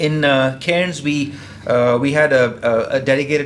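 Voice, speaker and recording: Noticeable background noise and audible room echo surround a man speaking at a fairly high pitch. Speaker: engineer presenting at industry conference. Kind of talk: conference presentation. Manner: fast; halting, many fillers and repetitions.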